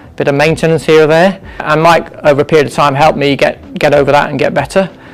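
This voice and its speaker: Fairly even in intonation, a man talks at a fairly quick pace over noticeable background noise. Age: 60s. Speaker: physio clinic client, amateur marathon runner. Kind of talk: interview testimony.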